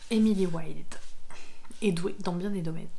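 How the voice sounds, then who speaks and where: Soft-spoken and calm in tone, a woman talks at a medium pitch with fairly even intonation. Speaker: ASMR creator and book reviewer. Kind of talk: reading a book synopsis aloud. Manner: soft-spoken, calm.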